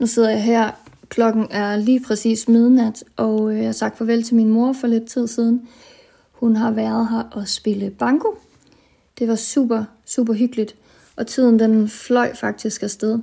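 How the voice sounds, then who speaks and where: The voice has a dark, mellow, somewhat breathy tone and flat, monotone intonation. It moves at a very slow pace. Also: woman, fairly high pitch for a woman. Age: 30s. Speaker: chronically ill early pensioner. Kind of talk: personal audio diary. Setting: self-recorded at home.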